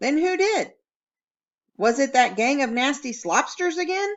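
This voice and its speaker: A woman's put-on character voice, high-pitched, with very wide pitch swings and a moderate pace. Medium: read story. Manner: mock-serious, dramatic.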